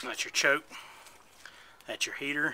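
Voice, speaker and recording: Over noticeable background noise, a man mumbles. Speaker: hobby scooter mechanic. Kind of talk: casual DIY repair tutorial. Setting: outdoors on a porch. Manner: mumbling. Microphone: phone near.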